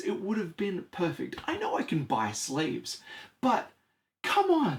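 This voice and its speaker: His delivery has an animated tone. The man keeps to a moderate pace. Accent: Australian. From Australia. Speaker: board game reviewer. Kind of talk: product review.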